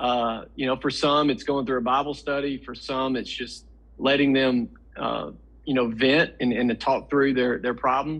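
Speech comes at a fairly slow pace with monotone, flat intonation. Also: man, medium pitch for a man. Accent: Tennessee. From Middle Tennessee, US South. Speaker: pregnancy center executive director. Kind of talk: interview.

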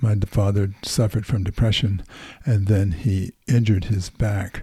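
A man speaks at a moderate pace in a fairly low, somewhat breathy voice with a dark, mellow tone and fairly even intonation. The recording is very clean, with a silent background. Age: 70s. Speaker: church elder. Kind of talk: casual chat.

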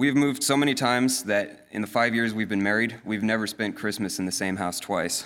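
A man with an American accent has an ordinary speaking voice and a fairly low pitch. He speaks at a fairly quick pace in a very clean recording with a silent background. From Colorado. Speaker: navy pilot. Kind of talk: testimony. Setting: church.

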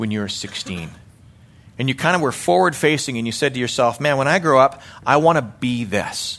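With lively intonation and a Canadian accent, this is an ordinary speaking voice moving at a moderate pace. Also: man. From Canada, Calgary, Alberta. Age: 40s. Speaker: lay preacher and church elder. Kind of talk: sermon. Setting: church.

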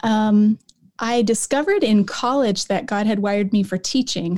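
A woman's voice is fairly high, somewhat breathy and dark and mellow in tone, with ordinary pitch variation. The recording is very clean, with a silent background. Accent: General American. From Colorado, US. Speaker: Old Testament professor and author. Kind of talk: casual interview conversation.

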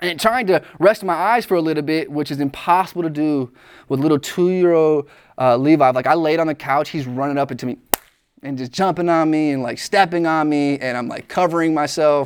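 With an ordinary speaking voice and ordinary pitch variation, a man at a fairly high pitch talks at a fairly quick pace. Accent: American. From US Midwest, Joliet, Illinois. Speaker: youth pastor. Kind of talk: sermon.

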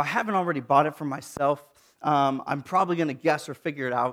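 A very clean recording with a silent background, featuring an unremarkable speaking voice and ordinary pitch variation. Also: man. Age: 30s. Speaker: pastor. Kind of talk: sermon.

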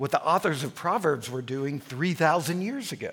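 A man with a fairly high pitch speaks at a moderate pace in an American accent, with lively intonation and an ordinary speaking voice. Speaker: lecturer and pastor. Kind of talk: lecture. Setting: live talk with audience, recorded for online.

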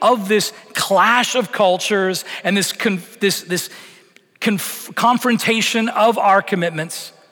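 Against noticeable background noise, a man with a Canadian accent speaks at a fairly slow pace in a high pitch with ordinary pitch variation. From Canada. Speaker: pastor. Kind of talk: sermon. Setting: church.

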